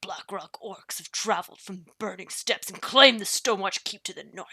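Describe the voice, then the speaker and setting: A whispered, put-on character voice. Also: female-sounding voice. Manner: grouchy.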